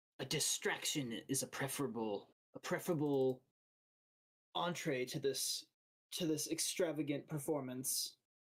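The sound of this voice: A put-on character voice, raspy and hissing, sits at a low-to-middle pitch. It moves at a moderate pace with long, frequent pauses.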